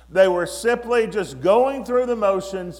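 A Southern US accent with ordinary pitch variation, amid noticeable background noise and audible room echo. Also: man. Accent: Southern US (Georgia). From US South, Georgia. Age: 60s. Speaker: guest preacher. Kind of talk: sermon; testimony.

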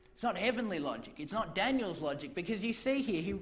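A man's pitch swings very widely, with audible echo from the room. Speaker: preacher. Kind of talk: sermon.

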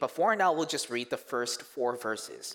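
With lively intonation, a man speaks in a Korean accent. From South Korea, moved to Canada in middle school. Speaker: youth pastor. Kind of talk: sermon. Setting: church stage with congregation.

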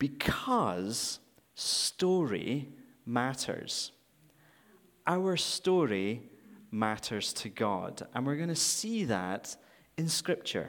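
Speaking very slowly with long, frequent pauses, a man with a Scottish accent and a medium pitch makes very wide pitch swings on a very clean recording with a silent background. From Scotland. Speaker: guest preacher for a charity. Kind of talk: sermon. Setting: church.

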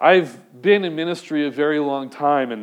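Fairly high in pitch, a man with an unremarkable speaking voice talks with ordinary pitch variation. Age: 30s. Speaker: pastor. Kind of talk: sermon.

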